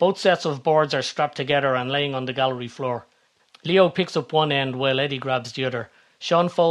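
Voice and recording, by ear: The reading aloud is in a natural voice, and its pitch varies in an ordinary way.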